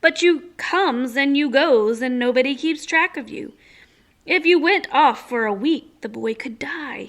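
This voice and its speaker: In a very clean recording with a silent background, a woman puts on a character voice pitched high. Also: moderate pace. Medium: read story.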